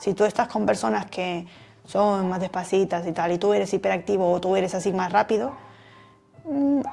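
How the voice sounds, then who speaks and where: A woman's dark, mellow tone at a moderate pace. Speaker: personal development youtuber. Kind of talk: talk to camera.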